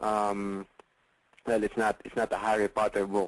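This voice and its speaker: With a Filipino accent, a man speaks fairly slowly at a fairly low pitch, the sound dry and close with no echo. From Philippines. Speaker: real estate investor and coach. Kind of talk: webinar sales pitch. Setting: online webinar call. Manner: hesitant, many fillers.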